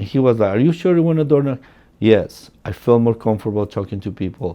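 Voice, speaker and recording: With a Spanish accent, a man talks at a moderate pace. His pitch is medium and his intonation lively. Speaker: real estate agent. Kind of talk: personal storytelling. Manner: casual, many fillers.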